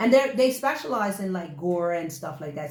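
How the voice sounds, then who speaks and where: A woman with a Bermudian accent talks at fairly low pitch and a fairly quick pace, with an animated tone. Her voice is somewhat breathy, her intonation lively, and the room echo is audible. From Bermuda. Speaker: actress and show co-host. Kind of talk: casual chat.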